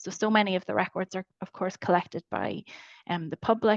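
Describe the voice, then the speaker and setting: Against a quiet background, a woman with a Northern Irish accent speaks at a moderate pace in a fairly low voice with vocal fry, the sound dry and close with no echo. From Northern Ireland. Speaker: webinar moderator. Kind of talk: webinar Q&A. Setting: online webinar. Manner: hesitant, many fillers.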